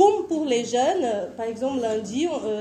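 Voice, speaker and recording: A woman with a Portuguese accent speaks at a fairly slow pace in a high pitch. Her intonation is lively, and room echo is audible. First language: Portuguese (speaking French). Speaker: missionary. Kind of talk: conference presentation.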